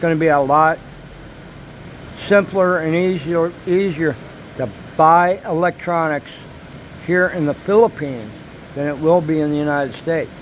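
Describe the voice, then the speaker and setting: Against noticeable background noise, a man with a fairly high pitch speaks at a moderate pace with fairly even intonation and long, frequent pauses. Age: 60s. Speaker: vlogger. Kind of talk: casual monologue vlog. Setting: apartment.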